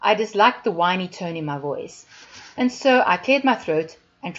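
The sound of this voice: Lively intonation carries an unforced reading voice.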